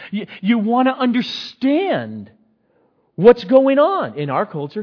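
A man's slow delivery with a slightly husky edge.

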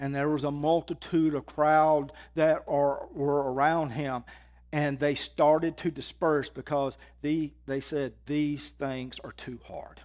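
This man talks very slowly with a Southern US accent and a fairly high pitch. His intonation stays monotone and flat over a very clean recording with a silent background. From Mississippi, US South. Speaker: guest preacher. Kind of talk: sermon.

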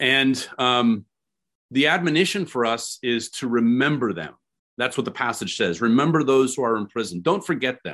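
In an American accent, a man with an unremarkable speaking voice talks at a moderate pace and medium pitch, his intonation lively against a quiet background. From California. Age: 40s. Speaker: pastor. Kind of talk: sermon. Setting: video call.

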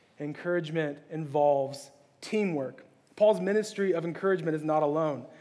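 Audible room echo accompanies a man's dark, mellow voice. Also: fairly high pitch for a man, ordinary pitch variation, fairly quick pace. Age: 30s. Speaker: pastor. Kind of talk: sermon. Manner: halting, with many fillers and repeats.

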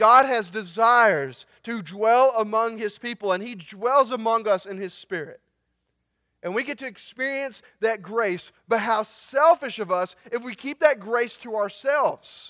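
A man's raised, projected voice at a high pitch, fairly slow in pace, with ordinary pitch variation and big swings in loudness. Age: 20s. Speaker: student pastor. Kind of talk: sermon.

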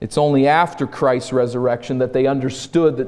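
The text is read aloud plainly, with intonation that stays fairly even.

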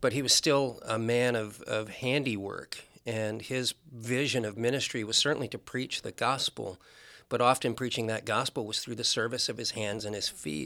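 A man speaks with an American accent in a bright, sharp tone. The recording is very clean, with a silent background. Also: medium pitch for a man, fairly even intonation, moderate pace. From US Midwest (Nebraska). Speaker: pastor. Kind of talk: casual chat.

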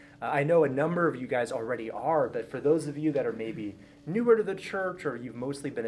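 A man talks very fast with lively intonation. Background noise is noticeable. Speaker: church pastor speaking to a class. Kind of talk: casual, warm. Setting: church classroom. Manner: fast talker.

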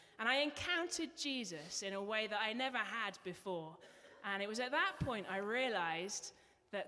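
With an English accent, a woman speaks at a fairly high pitch and a moderate pace. Her intonation is lively, and background noise is noticeable. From England. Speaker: church member giving testimony. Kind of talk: testimony. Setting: church.

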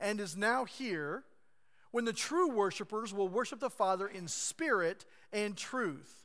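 In a raised, projected voice with an American accent, a man speaks at a high pitch with lively intonation and a bright, sharp tone, on a very clean recording with a silent background. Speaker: pastor. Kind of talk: sermon. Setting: church. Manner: hesitant, filler-heavy, conversational.

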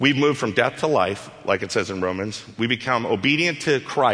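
Lively intonation in a natural reading voice.

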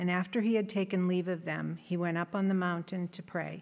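Her voice, a woman's at medium pitch, stays monotone with flat intonation. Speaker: scripture reader. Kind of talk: reading aloud. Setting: church.

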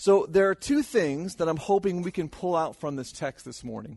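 Against a quiet background, the speaker uses lively intonation with an American accent. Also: man. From California. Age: 30s. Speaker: youth ministry leader. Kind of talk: sermon.

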